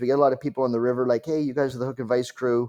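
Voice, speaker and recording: A man speaks in a dark, mellow tone with a Canadian accent. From British Columbia, Canada. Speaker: fly fishing clothing brand owner. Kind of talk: podcast interview answer. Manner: passionate.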